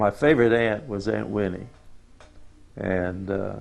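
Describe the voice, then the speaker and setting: A man with a Southern US accent speaks at a fairly slow pace in a fairly low pitch, his intonation fairly even. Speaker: family elder interviewee. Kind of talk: oral history interview. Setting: on a farm.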